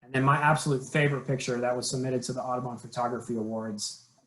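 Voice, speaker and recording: A man speaks with monotone, flat intonation. His voice is somewhat breathy. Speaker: conservation program trainer. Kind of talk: training webinar presentation.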